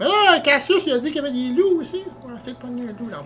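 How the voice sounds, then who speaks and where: Someone puts on a high-pitched character voice at a very fast pace. Background noise is clearly audible. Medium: actual play.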